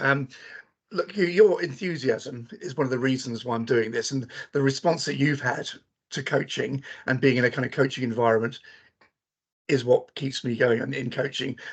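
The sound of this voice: This man has a medium pitch with a slightly husky edge. He speaks at a moderate pace with ordinary pitch variation.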